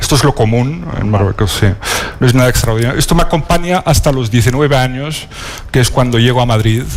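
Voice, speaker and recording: Male speech with lively intonation, noticeable background noise and audible room echo. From northern Morocco (Alhucemas, Rif). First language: Riffian Berber (Amazigh) (speaking Spanish). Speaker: novelist. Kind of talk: panel talk at a literary event. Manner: halting, many fillers.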